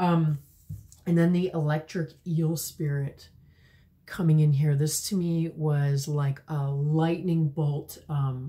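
A woman speaks in a very deep, low voice that is somewhat breathy, with a dark, mellow tone and fairly even intonation. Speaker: tarot card reader. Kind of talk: intuitive tarot reading to camera. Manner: hesitant, many filler words. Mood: warm, gentle, reflective. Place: home room.

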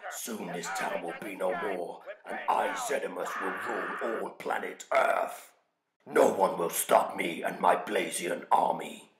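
In a raspy put-on character voice, a man speaks at a fairly slow pace with slight echo. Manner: menacing, gloating.

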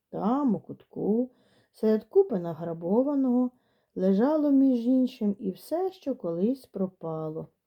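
The speaker uses a natural reading voice with lively intonation. The background is quiet.

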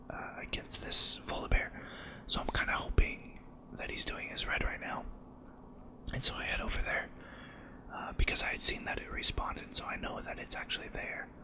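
A whispering voice pauses long and often over noticeable background noise. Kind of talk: gameplay commentary, soft-spoken ASMR style. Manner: soft-spoken, whispering, slightly fast.

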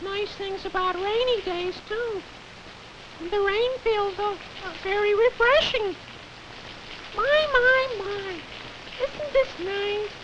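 An extremely high, cartoonish character voice speaks at a very slow pace. Clear background noise can be heard. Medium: puppet show. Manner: gushing, sing-song.

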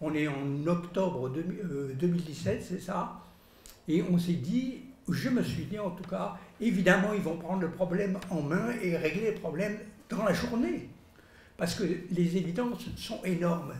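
In a room with audible echo, a man talks fairly slowly in a high voice with ordinary pitch variation. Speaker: lab scientist. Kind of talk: press conference. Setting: press room with audience. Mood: earnest, concerned. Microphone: podium.

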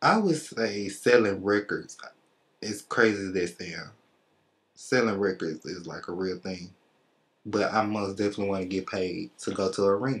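Speaking with an American accent at a moderate pace, a man with a fairly low pitch and ordinary pitch variation leaves long, frequent pauses. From Memphis, Tennessee. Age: 20s. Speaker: rapper. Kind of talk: interview. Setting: studio. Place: studio.

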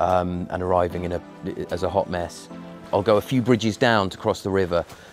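A man with a very deep, low pitch is heard over clear background music, the sound dry with no echo. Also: ordinary pitch variation, fairly quick pace. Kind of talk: interview answer. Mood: relaxed, reflective. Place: garden.

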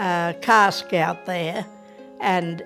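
Against clear music in the background, a woman with an Australian accent speaks at a medium pitch. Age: 80s+. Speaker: interviewee. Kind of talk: interview answer. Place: home room. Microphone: lapel.

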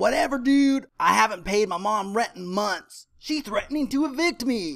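A cartoonish character voice, fairly high in pitch, moves at a moderate pace. The recording is very clean, the background silent. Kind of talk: comic cartoon acting. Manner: snarky, dismissive.

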